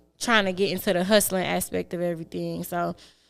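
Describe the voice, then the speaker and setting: Fairly quick speech over music in the background. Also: woman. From Detroit, West Seven Mile. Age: 20s. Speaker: rapper. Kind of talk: interview.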